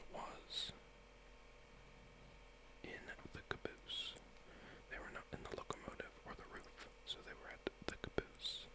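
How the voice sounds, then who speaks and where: Someone whispers in a relaxed tone at a fairly slow pace, with long, frequent pauses. Noticeable background noise runs underneath. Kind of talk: ASMR puzzle-game reading and solving, soft-spoken talk to camera. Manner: soft-spoken, whispering, relaxed.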